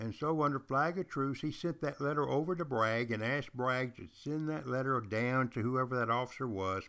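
The recording is very clean, with a silent background. A man with a slight Southern US accent speaks at a medium pitch and moderate pace. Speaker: history teacher and podcast host. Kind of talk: casual history lecture. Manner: animated.

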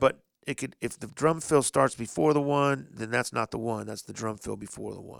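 With an American accent and an unremarkable speaking voice, a man talks at a moderate pace with lively intonation and big swings in loudness. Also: medium pitch for a man. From Indianapolis, US Midwest. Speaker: DJ. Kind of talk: casual chat.

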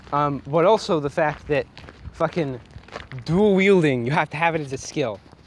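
Pitched fairly high, a man talks with ordinary pitch variation and long, frequent pauses. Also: moderate pace. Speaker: podcast host. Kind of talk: casual gaming rant. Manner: angry, profane, ranting.

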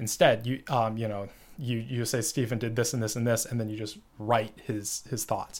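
Using fairly even intonation, a man with an American accent talks at a moderate pace and medium pitch. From United States. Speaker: podcast host. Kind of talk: solo monologue on a novel. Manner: halting, many fillers.

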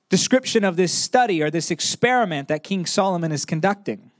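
The speaker uses lively intonation at a moderate pace. The sound is dry and close, with no echo. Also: man. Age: 20s. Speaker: preacher. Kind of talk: sermon.

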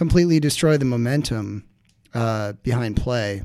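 A man talks at a moderate pace with ordinary pitch variation in a normal speaking voice. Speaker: supporters group president. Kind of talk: casual chat. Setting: studio.

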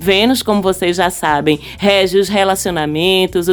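Someone speaks in an animated tone at a moderate pace, with noticeable background noise. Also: woman. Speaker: astrology podcast host. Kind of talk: solo podcast monologue.

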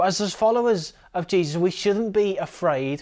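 This man has a British accent, ordinary pitch variation and a moderate pace against a quiet background. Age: 20s. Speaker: preacher. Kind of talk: sermon.

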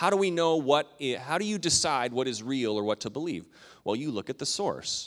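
Delivered in a normal speaking voice at a fairly quick pace, the recording is very clean with a silent background. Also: man. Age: 40s. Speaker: pastor. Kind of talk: sermon. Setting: church.

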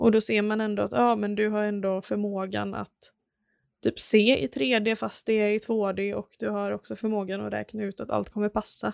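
Recorded very cleanly against a silent background, a woman speaks at a moderate pace with a dry, close sound and no echo. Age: 20s. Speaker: packaging designer. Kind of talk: interview.

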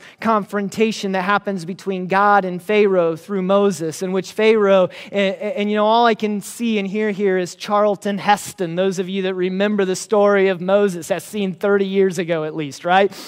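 Hardly any pauses break up the talking, which proceeds at a moderate speed. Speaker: preacher. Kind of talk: sermon.

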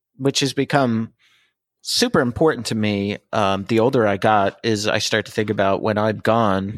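A man speaks in a plain, everyday voice, fairly low in pitch, at a moderate pace with fairly even intonation. The sound is dry and close with no echo, and the recording is very clean over a silent background. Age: 40s. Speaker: podcast co-host. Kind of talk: casual chat.

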